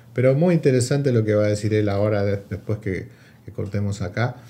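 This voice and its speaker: This man's dark, mellow tone carries lively intonation. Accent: Rioplatense. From Argentina. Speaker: podcast host. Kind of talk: casual chat.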